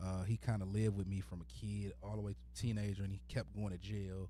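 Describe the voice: Speaking at a fairly quick pace, a man uses a fairly low pitch and fairly even intonation.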